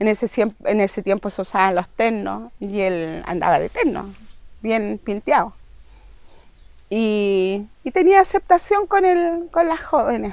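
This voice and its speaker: A woman speaks with a Chilean accent. Her pace is fairly slow. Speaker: victim's sibling. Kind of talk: testimony.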